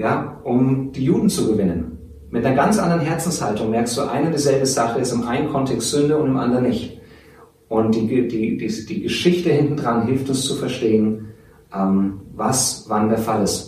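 Amid audible room echo and noticeable background noise, a man speaks at a moderate pace in a medium-pitched voice with lively intonation. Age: 40s. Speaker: theology teacher. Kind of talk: interview.

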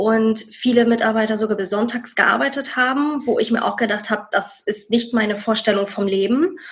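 A woman talks at a moderate pace in a fairly high, somewhat breathy voice. Her pitch varies in an ordinary way. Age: 30s. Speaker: former tax clerk. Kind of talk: interview.

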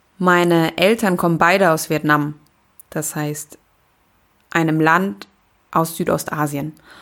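A woman's fairly low voice at a very slow pace, in a very clean recording with a silent background. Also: long, frequent pauses. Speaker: podcast host. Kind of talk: personal storytelling monologue.

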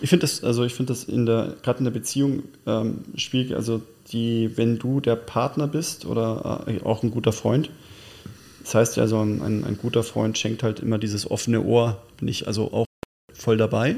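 A man's dark, mellow voice at medium pitch, with fairly even intonation and a moderate pace. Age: 40s. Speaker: podcast co-host. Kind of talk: casual chat. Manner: halting.

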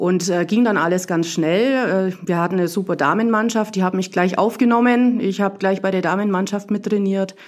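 In an ordinary speaking voice, a woman talks at a moderate pace and medium pitch, with hardly any pauses, fairly even intonation and very even loudness. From Bavarian Swabia, Burgau. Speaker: tennis club volunteer leader. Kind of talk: casual interview.

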